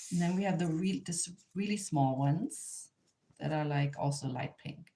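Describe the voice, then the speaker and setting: This speaker has lively intonation and a German accent. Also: woman. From Germany, near the Polish border. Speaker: artist and craft teacher. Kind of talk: live online tutorial. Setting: livestream. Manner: hesitant, with fillers and restarts.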